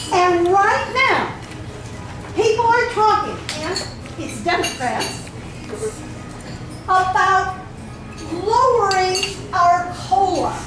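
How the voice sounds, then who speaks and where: A woman speaks loud at an extremely high pitch and a very slow pace, with long, frequent pauses. Audible room echo and noticeable background noise surround her. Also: ordinary pitch variation. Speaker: retiree advocacy group officer. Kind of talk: speech to a meeting. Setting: meeting room with audience, no microphone. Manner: interactive, asks the audience questions.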